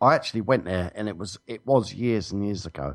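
A man with a British accent speaks at a fairly low pitch, with ordinary pitch variation. The background is quiet. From England. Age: 40s. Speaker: radio co-host. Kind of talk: casual chat. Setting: remote call.

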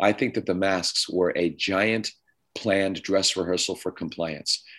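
A man with a Canadian accent has a normal speaking voice and a fairly low pitch. He talks at a moderate pace against a quiet background. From Canada, Ontario. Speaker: conference organizer and commentator. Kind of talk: talk radio interview.

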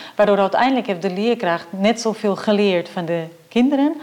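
The woman's pitch is medium and her pace moderate. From Portugal. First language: Portuguese (speaking Dutch). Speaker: professor. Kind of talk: interview.

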